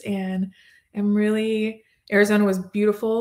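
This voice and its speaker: In a plain, everyday voice, a woman with an American accent talks at a fairly slow pace and medium pitch, captured on a very clean recording with a silent background. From Texas, Plano. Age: 40s. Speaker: sponsorship coordinator for a parenting website. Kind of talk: casual interview.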